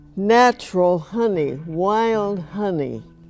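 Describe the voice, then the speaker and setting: With music behind her, a woman talks using ordinary pitch variation. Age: 80s+. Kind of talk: casual talk to camera.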